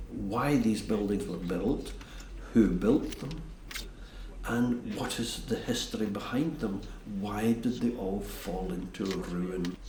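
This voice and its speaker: A man's fairly low voice in a Scottish accent, very slow, with ordinary pitch variation and noticeable background noise. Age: 70s. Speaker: castle restorer. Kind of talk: documentary interview answer.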